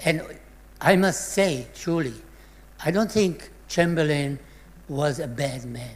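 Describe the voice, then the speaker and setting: The voice has a Czech accent and moves at a very slow pace. Long, frequent pauses break up the speech. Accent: Czech-born, non-native English. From Czechoslovakia, Sudetenland. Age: 80s+. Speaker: Holocaust survivor. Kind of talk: testimony.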